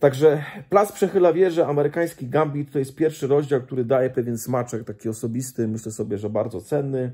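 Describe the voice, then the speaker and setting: A man's dark, mellow tone at a very fast pace, with ordinary pitch variation. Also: hardly any pauses, quiet background. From Poland. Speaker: Baptist pastor and missionary; Baptist preacher recommending a book. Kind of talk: casual book review monologue. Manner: halting, with frequent repetitions and fillers. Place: home room. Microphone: phone near.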